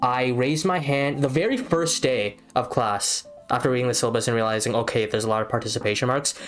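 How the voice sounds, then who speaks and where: A man's medium-pitched voice at a fairly quick pace with ordinary pitch variation, over music in the background. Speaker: podcast host, university student. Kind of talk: casual chat. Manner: halting.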